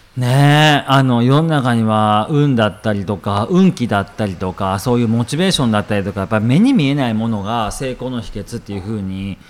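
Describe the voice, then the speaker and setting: Over noticeable background noise, a man talks at a fairly quick pace with hardly any pauses, lively intonation and a medium pitch. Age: 30s. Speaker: business coach. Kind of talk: casual chat.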